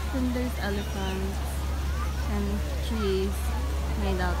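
The speech moves at a fairly slow pace, with crowd noise in the background. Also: woman. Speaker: travel vlogger. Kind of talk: casual vlog chat. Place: garden. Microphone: phone near.

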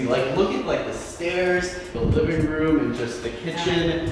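In a strongly echoing room with noticeable background noise, a man speaks at a fairly quick pace. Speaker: vlogger. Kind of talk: casual vlog chat. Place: home room. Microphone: camera far.

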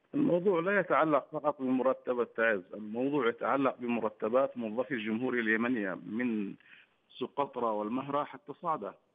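Here is a man with an ordinary speaking voice and a medium pitch. He moves at a moderate pace with ordinary pitch variation and hardly any pauses. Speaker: academic and political analyst. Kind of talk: TV news debate. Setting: remote link from another city.

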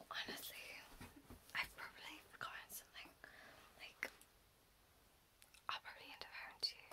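A woman whispers. She keeps a moderate pace. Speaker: ASMR creator playing a brow artist. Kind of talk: ASMR roleplay, brow appointment, soft friendly talk. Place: home room. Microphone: phone near.

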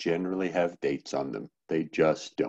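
A man's very deep, low voice with a dark, mellow tone over a quiet background. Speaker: open-source project maintainer. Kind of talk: online project meeting. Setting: video call. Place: home room. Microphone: headset.

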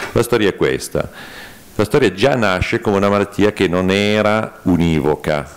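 A man's plain, everyday voice, fairly low in pitch, at a moderate pace with ordinary pitch variation and very even loudness. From Piedmont, Italy. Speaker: neurologist. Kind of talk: conference talk. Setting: conference hall with audience.

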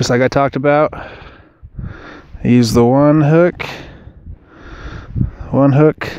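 A man talks at a slow pace with fairly even intonation. His tone is clear, smooth and slightly mellow.

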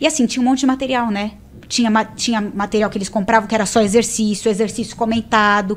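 Her pitch sits fairly high. This woman talks at a very fast pace. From Brazil. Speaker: tax auditor, interviewee about passing civil service exams; interviewee. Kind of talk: casual interview. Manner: animated. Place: studio. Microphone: studio mic.

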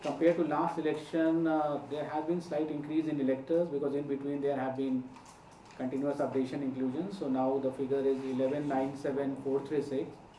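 Light background noise and audible room echo surround a man's voice. He speaks at a moderate pace in a monotone, flat intonation. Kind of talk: press conference statement. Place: hall. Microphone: podium.

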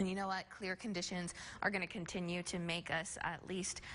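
A woman at medium pitch, speaking at a moderate pace. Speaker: TV meteorologist. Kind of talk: weather forecast. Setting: studio. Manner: conversational. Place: studio.

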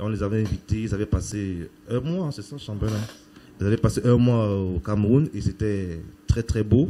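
The speaker is a man with a fairly low pitch. His tone is dark and mellow. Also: ordinary pitch variation, moderate pace. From Cameroon. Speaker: charity association member. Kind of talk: testimony. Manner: halting.

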